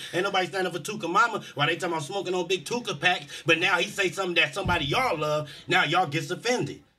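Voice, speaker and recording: Talking at a very fast pace with hardly any pauses, a man uses a high pitch, ordinary pitch variation, and a bright, sharp, animated tone. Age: 30s. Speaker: podcast co-host. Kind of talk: casual chat. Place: studio. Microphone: studio mic.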